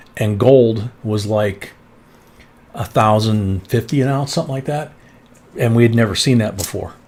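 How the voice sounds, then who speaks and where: Amid noticeable background noise, a man speaks at a moderate pace and medium pitch with ordinary pitch variation and long, frequent pauses. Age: 60s. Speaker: coin collecting live streamer. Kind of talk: live stream chat. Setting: live stream with co-host. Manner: casual, conversational.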